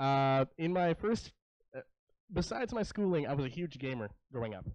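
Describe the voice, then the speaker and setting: Against a quiet background, a speaker with a Canadian accent talks at a moderate pace, the pitch swinging very widely. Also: man, fairly high pitch for a man. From Richmond, British Columbia, Canada. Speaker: gamer and esports entrepreneur. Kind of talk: panel talk to students.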